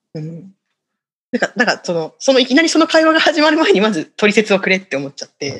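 Very fast speech with vocal fry, very wide pitch swings and big swings in loudness. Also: woman, fairly high pitch for a woman. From Hokkaido, Shiribeshi area. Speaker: Buddhist temple vice-priest. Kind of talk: casual chat.

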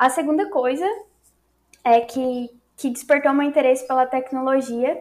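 Fairly even intonation in a woman's voice pitched high. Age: 20s. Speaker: computer science student and front-end developer. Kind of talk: interview.

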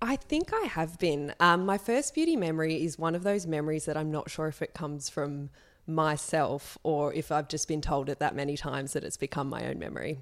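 An Australian-accented woman talks at a fairly quick pace with hardly any pauses, her very deep, low voice showing ordinary pitch variation. The recording is very clean with a silent background. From Sydney, Australia. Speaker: magazine editor and journalist. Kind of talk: interview conversation.

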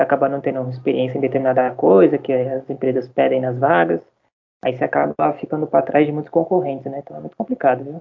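A man's fairly high voice at a very fast pace, full of lively intonation. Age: 20s. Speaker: journalism graduate. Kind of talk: casual chat.

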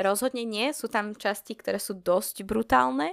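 Her medium-pitched voice, marked by vocal fry and very wide pitch swings, moves at a moderate pace in a very clean recording with a silent background and a dry, close sound with no echo. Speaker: podcast host. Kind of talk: casual chat.

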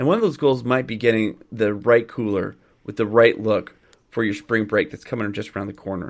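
A man's medium-pitched voice at a fairly quick pace with fairly even intonation. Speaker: podcast host.

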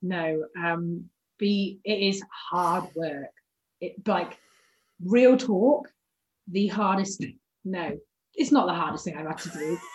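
A woman's medium-pitched, somewhat breathy voice at a very slow pace, with big swings in loudness, ordinary pitch variation and long, frequent pauses. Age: 20s. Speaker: rugby player. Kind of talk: casual chat.

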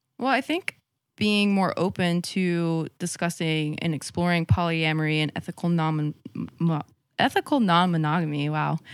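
A woman speaks in a plain, everyday voice at a fairly low pitch with ordinary variation. Her pace is moderate on a very clean recording with a silent background. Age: 20s. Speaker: podcast guest. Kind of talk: casual chat.

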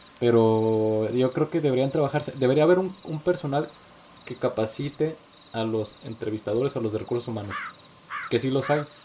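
Normal rise and fall in pitch, with clear noise in the background. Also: man, medium pitch for a man, moderate pace. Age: 20s. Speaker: podcast host. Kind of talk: casual chat.

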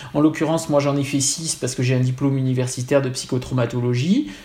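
There is noticeable background noise behind this man as he speaks. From Corsica. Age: 40s. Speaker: psychoanalyst and writer. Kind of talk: interview.

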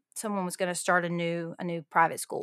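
Woman with a Southern US accent and medium pitch, dry and close with no echo, on a very clean recording with a silent background. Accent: Southern American. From Alabama, US South. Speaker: ministry leader and writer. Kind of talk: casual interview.

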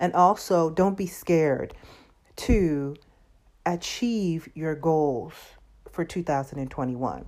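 With a Southern US accent, a woman speaks at a very slow pace with long, frequent pauses and ordinary pitch variation on a very clean recording with a silent background. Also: fairly low pitch for a woman. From US South. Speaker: podcast host. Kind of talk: casual monologue.

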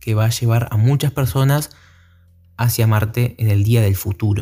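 In an Argentine accent, a man speaks with a dark, mellow tone and fairly even intonation. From Argentina. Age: young. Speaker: podcaster. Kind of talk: solo monologue podcast. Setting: at night. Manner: halting, many fillers.

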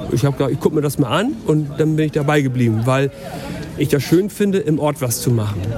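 The speech runs at a very fast pace with ordinary pitch variation. Noticeable background noise sits behind it. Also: man, fairly high pitch for a man. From northern Germany, Lower Saxony. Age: 40s. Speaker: local politician. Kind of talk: casual chat. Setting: outdoors.

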